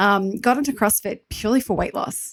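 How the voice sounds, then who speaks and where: With an American accent, a woman is talking. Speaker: fitness coach and nutritionist. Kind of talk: podcast interview. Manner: casual, chatty.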